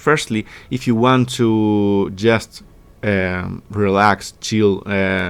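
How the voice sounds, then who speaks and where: Very slow in pace, a man speaks at a fairly low pitch with fairly even intonation. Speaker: gaming YouTuber. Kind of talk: tutorial. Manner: halting, many fillers.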